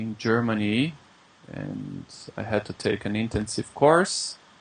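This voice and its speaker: This voice, with a Brazilian accent, moves at a very slow pace. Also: man. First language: Brazilian Portuguese. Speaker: English teacher. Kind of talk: interview. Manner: halting.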